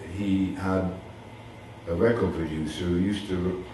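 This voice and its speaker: There is noticeable background noise and audible room echo. A man with a very deep, low pitch speaks at a moderate pace with fairly even intonation. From Bristol, south-west England. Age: 70s. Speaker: DJ. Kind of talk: interview.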